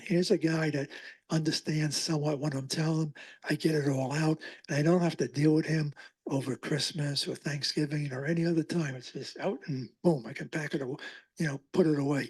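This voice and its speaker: The delivery moves at a fairly quick pace with fairly even intonation. There is a somewhat breathy quality to the voice. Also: man. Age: 80s+. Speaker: oral historian giving a library talk. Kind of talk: public talk with audience Q&A. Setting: library talk with live audience.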